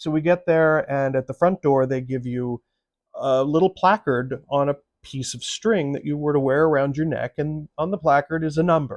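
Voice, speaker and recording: In a dry, close sound with no echo and a quiet background, a man with an American accent and an ordinary speaking voice talks at a moderate pace, with a fairly high pitch and fairly even intonation. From US Midwest. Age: 60s. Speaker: actor and writer, vlogger. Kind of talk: personal storytelling. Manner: conversational.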